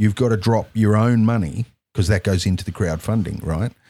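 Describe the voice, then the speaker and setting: With an Australian accent, a man speaks at a moderate pace, his fairly low pitch showing ordinary pitch variation. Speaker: podcast host. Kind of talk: casual chat. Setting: studio.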